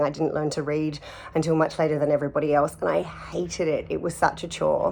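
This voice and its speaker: A woman with an Australian accent and a very deep, low pitch. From Australia (Sydney). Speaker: artist and actor. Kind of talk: personal testimony interview. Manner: hesitant, many fillers and repeats.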